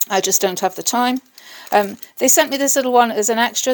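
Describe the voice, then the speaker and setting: With an English accent, a woman speaks at a fairly high pitch with ordinary pitch variation. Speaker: craft artist, video creator. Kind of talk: tutorial. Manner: casual, hesitant with fillers.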